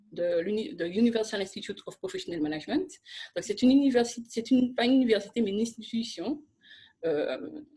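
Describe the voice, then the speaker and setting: A woman speaks at a fairly quick pace in a fairly high pitch. Her somewhat breathy voice swings very widely in pitch. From Martinique. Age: 30s. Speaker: social entrepreneur and lobbyist. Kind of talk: interview.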